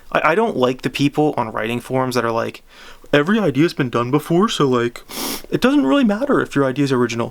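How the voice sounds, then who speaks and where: Speaking at a very fast pace, a man uses lively intonation and a fairly high pitch. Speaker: book reviewer. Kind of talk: casual book review. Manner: halting, many false starts; unscripted, off the cuff.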